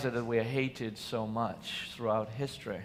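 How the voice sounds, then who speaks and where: A man's bright, sharp voice sits at medium pitch with ordinary pitch variation. He speaks at a moderate pace, and room echo is audible. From Israel. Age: 40s. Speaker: nonviolence organization founder. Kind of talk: conference talk. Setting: stage with audience. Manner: passionate.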